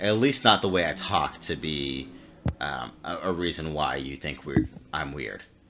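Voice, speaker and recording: Over noticeable background noise, a man with an American accent speaks at a very deep, low pitch and a fairly slow pace, with ordinary pitch variation. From Florida. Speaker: podcast co-host. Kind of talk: casual chat. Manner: halting.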